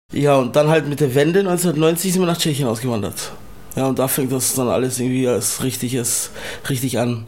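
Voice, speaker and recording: Audible room echo surrounds a man speaking at a moderate pace, with medium pitch and ordinary pitch variation. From Czech Republic and Germany. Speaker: Sinto grandson of Holocaust survivor. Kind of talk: interview testimony.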